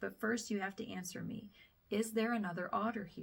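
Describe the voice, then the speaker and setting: Someone speaks at a moderate pace in a raspy, fairly high put-on character voice. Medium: read story.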